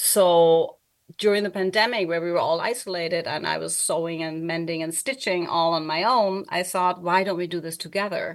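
A woman with a German accent speaks at a moderate pace and a fairly low pitch, her intonation fairly even. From Germany. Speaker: artist and educator. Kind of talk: interview, casual conversation. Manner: halting, self-correcting.

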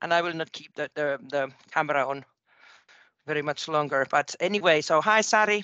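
Over a quiet background, a woman with a Finnish accent speaks at a very deep, low pitch with a bright, sharp tone. Her moderate pace and ordinary pitch variation come through a dry, close sound with no echo. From Finland. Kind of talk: casual chat. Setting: phone call.

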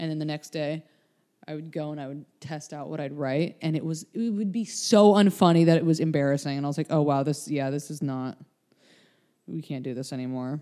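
A woman's very deep, low voice with a dark, mellow tone, ordinary pitch variation and a very fast pace, on a very clean recording with a silent background. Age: 20s. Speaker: podcast host. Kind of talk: casual chat.

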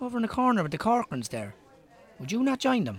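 In a put-on character voice, the speaker goes at a fast pace with very wide pitch swings. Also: man, high pitch for a man.

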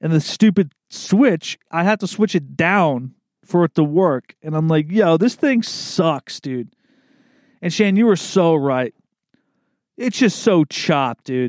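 In an East Coast US accent, a man talks at a fairly slow pace with a high pitch and very wide pitch swings, recorded with a dry, close sound with no echo. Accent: American East Coast. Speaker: podcast host. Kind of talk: casual monologue. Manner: relaxed, rambling with fillers.

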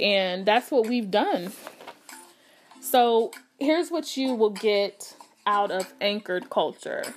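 Her voice is fairly high, and the woman speaks very slowly with lively intonation and long, frequent pauses. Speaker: podcast host. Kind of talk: casual solo podcast intro. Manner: casual, chatty, self-correcting.

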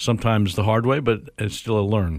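In a very clean recording with a silent background, a man with an American accent speaks in a normal speaking voice, fairly low in pitch, with ordinary pitch variation. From New York State. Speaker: airport executive. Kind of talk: interview.

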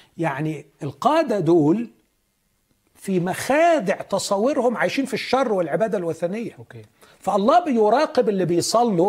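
The speaker has an Egyptian accent, moving at a fairly slow pace with very wide pitch swings. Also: man. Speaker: pastor. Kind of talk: religious teaching.

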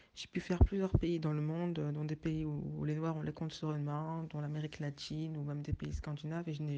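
Her voice sits very deep and low for a woman, dark and mellow in tone, delivered in a flat monotone. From French of Senegalese descent. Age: 20s. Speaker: interviewee. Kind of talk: testimony.

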